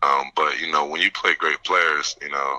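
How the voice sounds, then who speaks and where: Fairly quick speech from a man, dry and close-miked, echo-free. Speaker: college football player and pro prospect. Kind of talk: interview.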